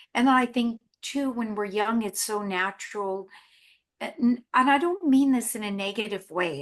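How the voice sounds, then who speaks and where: A woman with an unremarkable speaking voice, fairly high pitch, lively intonation and a fairly slow pace against a quiet background. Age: 60s. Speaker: actress. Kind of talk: casual chat.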